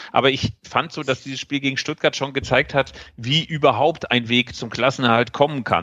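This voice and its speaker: Keeping a moderate pace, a man uses a normal speaking voice pitched in the medium range. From Bielefeld, Germany. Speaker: football magazine editor. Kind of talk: casual chat.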